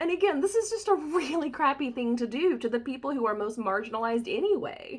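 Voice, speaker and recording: With an American accent, a woman races along at a very fast pace with hardly any pauses, her high pitch swinging very widely. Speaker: body-positive photographer. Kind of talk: casual talk to camera.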